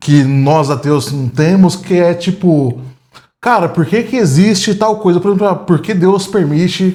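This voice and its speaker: A man's high-pitched voice with lively intonation. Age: 30s. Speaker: atheist interviewee. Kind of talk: casual interview. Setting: home apartment living room. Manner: halting.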